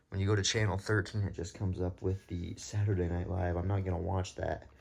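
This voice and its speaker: Somewhat breathy and very deep, a man's voice races along at a very fast pace. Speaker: vlogger. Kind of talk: casual vlog. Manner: animated; soft-spoken.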